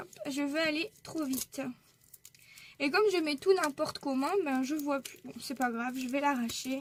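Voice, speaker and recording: Fairly slow, high-pitched speech from a woman, its pitch varying in an ordinary way. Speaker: scrapbooking YouTuber. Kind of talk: casual haul video.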